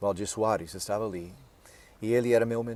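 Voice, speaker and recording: Moderate pace, fairly low male voice, dark and mellow in tone, with fairly even intonation. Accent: American. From US, Nebraska. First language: English (speaking Portuguese). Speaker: pastor and missionary. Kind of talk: interview. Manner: halting.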